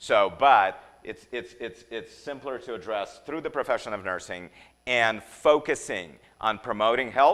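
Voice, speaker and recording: This man has a slight non-native accent and a medium pitch. His tone is animated, with big swings in loudness. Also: ordinary pitch variation. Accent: slight foreign. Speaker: nursing educator. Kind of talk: lecture. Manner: halting, many repetitions.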